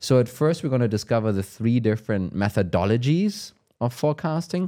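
A man with a German accent, a dark, mellow tone and lively intonation, on a very clean recording with a silent background. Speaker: live show host. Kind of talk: casual conversation. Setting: live stream, in Copenhagen.

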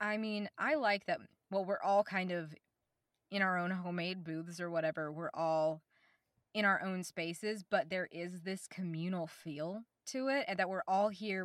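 A plain, everyday voice from a woman with an American accent, medium pitch, ordinary pitch variation and a moderate pace, on a very clean recording with a silent background and a dry, close sound with no echo. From US South, Oklahoma. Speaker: voice actor. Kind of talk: casual chat.

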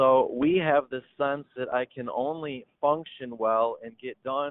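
Fairly slow in pace, a man with an Upper Midwest accent speaks at medium pitch with fairly even intonation. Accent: Upper Midwest American. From Michigan. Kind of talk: interview. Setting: phone or video call.

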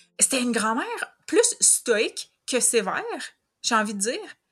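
In a Quebec accent, a woman speaks fairly slowly with a fairly high pitch and lively intonation. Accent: Québécois French. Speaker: host's older sister. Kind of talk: casual interview.

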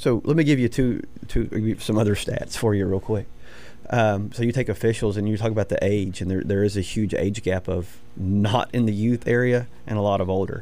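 An unremarkable speaking voice, from a man with an American accent and a fairly low pitch. He talks at a moderate pace with fairly even intonation. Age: 40s. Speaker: high school football coach. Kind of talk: sports radio interview.

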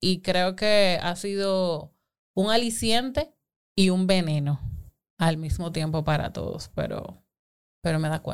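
This woman has a plain, everyday voice, pitched fairly low, speaking at a fairly slow pace on a very clean recording with a silent background. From Dominican Republic. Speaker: digital marketing and advertising professional. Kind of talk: casual chat.

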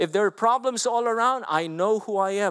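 A man with a Filipino accent talks at a moderate pace with ordinary pitch variation. The recording is very clean, with a silent background. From Philippines. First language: Filipino language. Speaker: pastor. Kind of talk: sermon. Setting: church.

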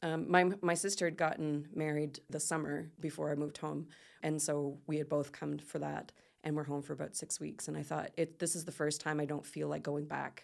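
A woman speaks in a very deep, low pitch with monotone, flat intonation. The recording is very clean, with a silent background. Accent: Nova Scotian. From Nova Scotia, Canada. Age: 40s. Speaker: business coach. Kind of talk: interview.

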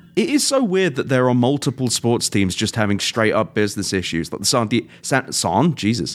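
A man in a British accent speaks at a fairly quick pace and a medium pitch. His intonation is lively, and the recording is very clean with a silent background. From England. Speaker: podcast host. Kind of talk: casual chat.

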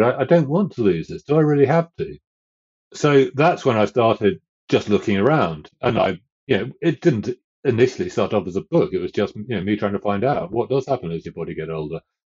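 With a southern English accent and vocal fry, a man speaks fairly quickly at a medium pitch, his pitch swinging very widely. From southern England. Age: 60s. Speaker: author and fell runner. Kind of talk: casual interview.

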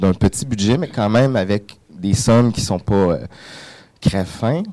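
A man talks at a moderate pace in a dark, mellow tone. His pitch varies in an ordinary way. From Quebec, Montreal. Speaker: filmmaker. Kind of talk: radio panel discussion. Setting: radio studio.

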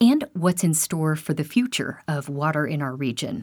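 A woman with a plain, everyday voice, fairly low pitch and lively intonation at a moderate pace, on a very clean recording with a silent background. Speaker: radio host. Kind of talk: news reading. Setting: studio.

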